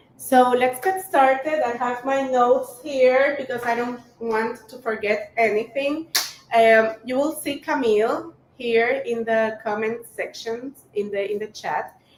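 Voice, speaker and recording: Speaking fairly slowly with a Spanish accent, a woman uses a high pitch with ordinary pitch variation while her loudness swings widely. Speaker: cooking teacher. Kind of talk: live-streamed cooking workshop. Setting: live stream. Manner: casual with fillers.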